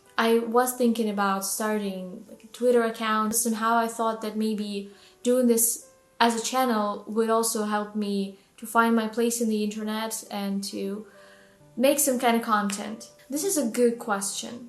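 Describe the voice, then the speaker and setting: With a Russian accent and a fairly high pitch, a woman speaks at a fairly slow pace in a monotone, flat intonation, her loudness swinging widely, with music in the background and audible room echo. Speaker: book vlogger. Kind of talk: casual vlog monologue. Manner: halting, with fillers.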